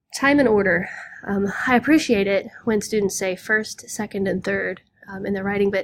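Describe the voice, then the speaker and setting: A woman speaks at a medium pitch in a Southern Illinois accent. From US Midwest, Southern Illinois. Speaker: high school English teacher. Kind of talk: lecture. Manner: casual, with frequent fillers.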